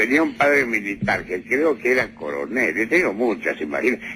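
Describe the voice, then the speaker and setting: His pitch swinging very widely, a man talks at a moderate pace. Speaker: prosecutor answering a reporter's questions. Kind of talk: interview answer.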